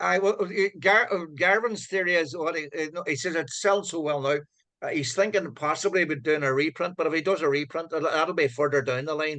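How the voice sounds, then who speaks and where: In a Donegal accent, a man talks at a fairly quick pace with a fairly high pitch. His tone is bright and sharp, with ordinary pitch variation. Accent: Donegal Irish. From Ireland, County Donegal (Letterkenny). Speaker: author. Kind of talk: casual chat. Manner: halting.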